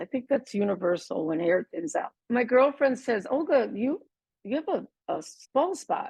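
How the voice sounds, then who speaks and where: A woman with a Spanish accent talks at a moderate pace, her pitch swinging very widely. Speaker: lupus patient advocate, former attorney. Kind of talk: personal testimony. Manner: animated.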